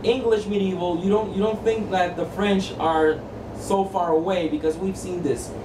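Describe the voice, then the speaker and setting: A man's fairly slow speech with a Spanish accent and ordinary pitch variation, amid audible room echo and noticeable background noise. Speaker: tabletop game reviewer. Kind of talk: casual review monologue. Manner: repetitive, halting with false starts.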